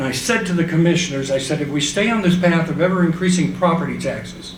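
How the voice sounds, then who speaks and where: Over noticeable background noise and audible room echo, a man with a high voice talks at a fairly quick pace with fairly even intonation. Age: 70s. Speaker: tax reform activist. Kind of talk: panel discussion remarks. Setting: conference panel with audience.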